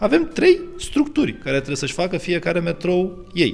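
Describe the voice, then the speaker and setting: The voice moves at a moderate pace with very wide pitch swings over noticeable background noise. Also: man. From Romania, Bucharest. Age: 30s. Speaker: lawyer and law lecturer. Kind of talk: podcast interview.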